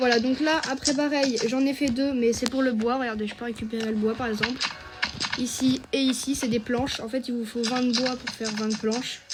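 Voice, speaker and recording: There is noticeable background noise behind a woman's high-pitched voice. She speaks at a moderate pace in a flat monotone. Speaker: gaming youtuber. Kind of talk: gameplay tutorial. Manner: hesitant, many fillers.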